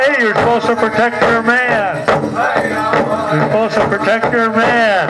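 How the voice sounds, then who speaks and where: A man's voice over loud music in the background. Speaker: dance announcer. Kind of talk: commentary. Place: open country. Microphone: pa.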